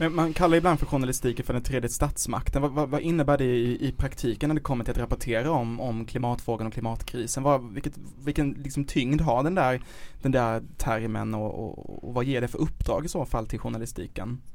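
A man with an ordinary speaking voice, medium pitch, ordinary pitch variation and a fairly quick pace. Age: 30s. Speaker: podcast host, journalist. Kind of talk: casual chat.

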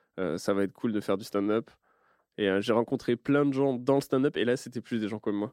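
Against a quiet background, a man talks fairly quickly at a medium pitch with ordinary pitch variation, the sound dry and close with no echo. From French countryside. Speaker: comedian and podcast host. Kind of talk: casual chat.

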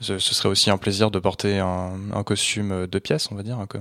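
A man speaks at a fairly slow pace with a fairly low pitch and monotone, flat intonation. The recording is very clean, with a silent background. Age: 20s. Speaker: second-hand menswear seller. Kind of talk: interview. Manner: halting.

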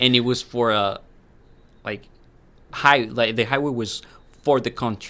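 Speaking with a Spanish accent, a man uses a medium pitch and a bright, sharp tone at a fairly slow pace, his intonation fairly even and his pauses long and frequent. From Colombia, Medellin. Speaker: international student, former lawyer. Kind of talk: casual interview.

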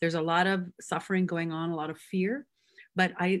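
In a Canadian Prairie accent, the speaker delivers flat, monotone intonation at a moderate pace on a very clean recording with a silent background. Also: woman. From Canadian Prairies (Métis, Manitoba-born). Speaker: singer and actress. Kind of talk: casual interview.

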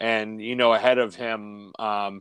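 With a quiet background, a man of medium pitch talks at a fairly slow pace. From Canada. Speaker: hockey podcast co-host. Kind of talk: casual chat. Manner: animated.

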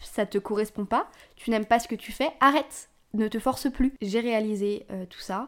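A woman's fairly high voice, with ordinary pitch variation, comes on a very clean recording with a silent background. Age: 20s. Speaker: podcast host. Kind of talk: casual monologue. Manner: informal, hesitant with fillers.

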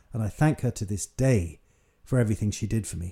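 A man talks in a dark, mellow tone that is somewhat breathy. The recording is very clean, with a silent background. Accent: British. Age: 60s. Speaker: mature university student and podcaster. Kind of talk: solo monologue podcast.

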